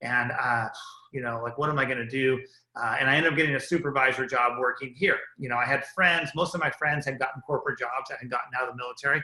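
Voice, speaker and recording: The speech moves at a very fast pace with fairly even intonation. Background noise is noticeable. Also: man, medium pitch for a man. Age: 50s. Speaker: business entrepreneur and army veteran. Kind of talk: motivational business talk. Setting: group call. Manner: casual, with many fillers.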